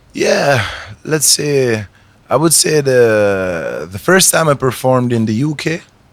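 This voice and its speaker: The speaker is a man. He has an Italian accent. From Italy. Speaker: reggae artist. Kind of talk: interview. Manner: halting.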